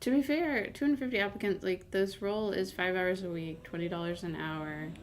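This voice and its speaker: Quietly and at a fairly quick pace, a woman speaks at a medium pitch with lively intonation, with noticeable background noise behind her. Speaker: game streamer and channel owner. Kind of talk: casual live-stream commentary while gaming. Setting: live stream.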